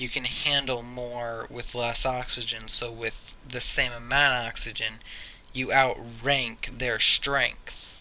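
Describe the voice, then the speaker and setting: A man at a very slow pace, medium in pitch, with monotone, flat intonation. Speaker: YouTuber. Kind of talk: casual vlog monologue. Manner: stuttering; halting, many fillers.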